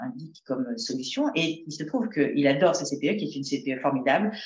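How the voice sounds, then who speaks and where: Her pitch is very deep and low for a woman. This woman's voice makes very wide pitch swings. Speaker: psychotherapist speaking on school bullying. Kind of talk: talk to parents. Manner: fast.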